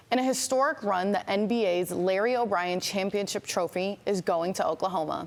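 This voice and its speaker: In a normal speaking voice, a woman talks at a fairly quick pace, her medium pitch showing ordinary variation. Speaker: news anchor. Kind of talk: TV news anchor delivery. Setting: broadcast studio.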